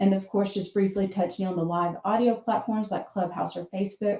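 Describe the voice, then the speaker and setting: A woman speaks at medium pitch with a dark, mellow tone. Her voice is somewhat breathy, and her intonation stays fairly even. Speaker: social media manager. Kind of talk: webinar presentation.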